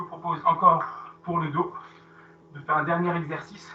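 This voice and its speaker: A man's voice, high in pitch. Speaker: fitness coach. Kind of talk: live workout class instruction.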